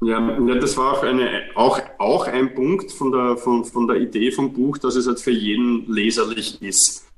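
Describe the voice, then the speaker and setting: Over music in the background, a man with a Viennese accent talks at a fairly slow pace with fairly even intonation and hardly any pauses. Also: medium pitch for a man, very even loudness. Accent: Viennese Austrian German. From Austria, Vienna. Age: 40s. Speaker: physiotherapist and author. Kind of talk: interview. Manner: halting, with repetitions.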